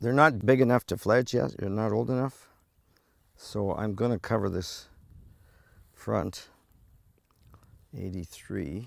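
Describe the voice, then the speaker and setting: With a Canadian accent and vocal fry, a man speaks at a fairly slow pace, leaving long, frequent pauses. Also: fairly low pitch for a man, ordinary pitch variation. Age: 70s. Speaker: volunteer bird conservationist. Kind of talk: documentary interview. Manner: halting.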